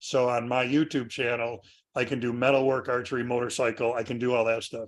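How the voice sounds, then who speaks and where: The background is quiet. A man speaks in a monotone, flat voice. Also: medium pitch for a man, fairly quick pace. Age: 60s. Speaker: woodworking author and instructor. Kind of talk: interview.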